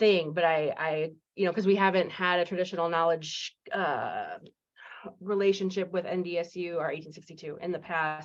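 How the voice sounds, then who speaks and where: A woman with a fairly low pitch talks at a moderate pace in a flat, monotone way. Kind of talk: listening session discussion. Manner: halting, many fillers.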